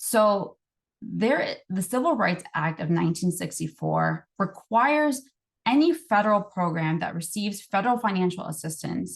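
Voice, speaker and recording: A woman talks at a moderate pace and medium pitch. Her voice is somewhat breathy, with lively intonation. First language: Spanish. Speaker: public health presenter. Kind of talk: presentation. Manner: halting, many fillers.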